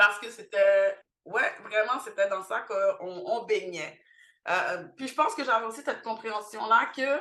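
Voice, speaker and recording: At a fairly slow pace, a woman speaks with a fairly high pitch and a bright, sharp tone. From Montreal, Quebec, with teen years in Haiti. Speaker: cultural centre founder. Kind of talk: podcast interview. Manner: many hesitations (euh).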